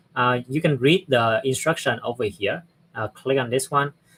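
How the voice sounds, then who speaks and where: This man speaks at a moderate pace with a non-native accent, his pitch medium and its variation ordinary. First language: not English. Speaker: software platform presenter. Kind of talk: live tutorial. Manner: halting.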